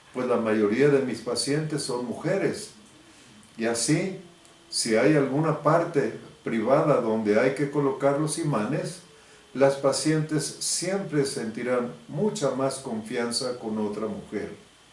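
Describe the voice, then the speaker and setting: A man speaks at a very slow pace with ordinary pitch variation. Noticeable background noise and audible room echo fill the recording. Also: medium pitch for a man. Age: 80s+. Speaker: biomagnetism therapist. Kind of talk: religious advisory talk to fellow believers.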